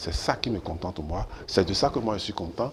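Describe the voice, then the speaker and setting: At a moderate pace, a man speaks with ordinary pitch variation and a somewhat breathy sound. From Benin. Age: 70s. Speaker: professor and former minister. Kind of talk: TV interview.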